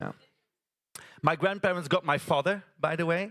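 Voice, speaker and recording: The speaker is a man. He has a Flemish accent. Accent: Flemish Dutch accent in English. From Belgium, West Flanders. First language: Dutch (West Flemish). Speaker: theatre artist, storyteller. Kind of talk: stage storytelling performance. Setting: stage with audience at a conference. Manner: animated, gesturing.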